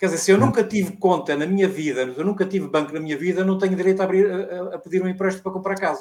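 A man's high-pitched voice at a very fast pace with ordinary pitch variation. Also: hardly any pauses. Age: 60s. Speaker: retired navy veteran. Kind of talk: casual chat.

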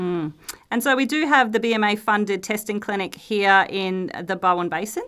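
Noticeable background noise beneath a woman's medium pitch. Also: ordinary pitch variation, moderate pace. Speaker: company interviewer. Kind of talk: casual interview chat.

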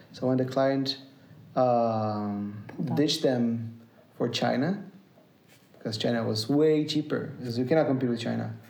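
A man at a fairly slow pace, with long, frequent pauses and audible room echo. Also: medium pitch for a man, ordinary pitch variation. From Brazil, near São Paulo. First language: Portuguese. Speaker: musician. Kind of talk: casual chat. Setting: at home. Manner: halting.

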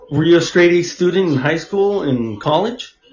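A man's voice with lively intonation and audible room echo. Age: 40s. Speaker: podcast host. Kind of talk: casual chat.

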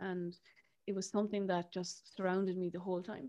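Speaking at a very fast pace, a woman with an Irish accent keeps a medium pitch and fairly even intonation. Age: 30s. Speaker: podcast host and therapist. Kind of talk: casual interview chat.

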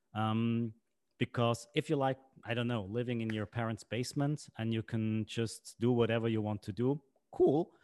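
Delivered at a moderate pace, the speech has fairly even intonation and a Swiss German accent. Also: man, medium pitch for a man. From Switzerland. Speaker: podcast host. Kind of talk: casual chat.

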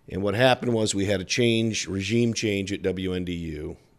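At a moderate pace, a man with an American accent talks in a fairly low pitch, in a normal speaking voice. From South Bend, Indiana. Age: 60s. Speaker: television sports broadcaster. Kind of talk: interview.

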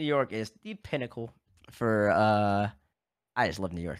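A man with an American accent, an unremarkable speaking voice, and lively intonation at a moderate pace, on a very clean recording with a silent background. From US South, Baton Rouge, Louisiana. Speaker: esports personality. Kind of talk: casual chat.

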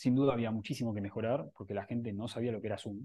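The speech comes at a very fast pace in an Argentine accent. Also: man. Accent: Argentine Spanish (voseo). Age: 30s. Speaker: tech startup co-founder. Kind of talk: interview.

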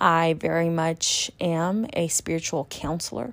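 A woman speaks in an ordinary speaking voice with an American accent, fairly low in pitch and fairly even in intonation. The recording is very clean, the background silent. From California. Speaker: spiritual reader and podcast host. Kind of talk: monologue.

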